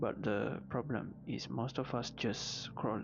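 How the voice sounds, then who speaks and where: Music plays in the background as a man speaks very slowly at a medium pitch. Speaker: self-help vlogger. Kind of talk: motivational talk.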